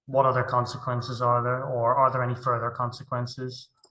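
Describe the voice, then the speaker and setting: A man's bright, sharp voice sits at a medium pitch and moves at a fairly quick pace. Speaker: primary school teacher and curriculum trainer. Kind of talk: webinar presentation. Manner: fast.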